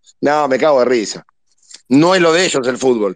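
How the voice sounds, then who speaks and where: A man speaks at a very fast pace. His pitch shows ordinary variation. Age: 50s. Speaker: football fan caller. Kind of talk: casual chat.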